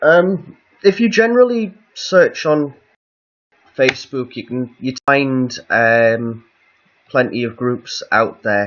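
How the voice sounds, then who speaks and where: With a northeast English accent, a man talks at a very slow pace in a fairly high voice, with very wide pitch swings and long, frequent pauses. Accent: northeast English, lighter than guest's. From northeast England. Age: 20s. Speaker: live streamer. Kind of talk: casual chat. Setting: home live stream.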